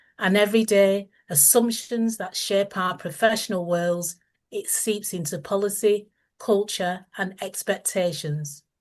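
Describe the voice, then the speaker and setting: Speaking at a fairly slow pace, a woman with a medium-pitched voice uses ordinary pitch variation over a quiet background. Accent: Lancashire. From northern England, Lancashire. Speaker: author. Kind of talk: reading aloud. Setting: video call. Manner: formal.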